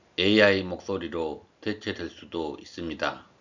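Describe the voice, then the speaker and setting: A man's very deep, low voice at a very slow pace. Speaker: civil servant and amateur history lecturer. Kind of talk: narrated lecture. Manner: formal.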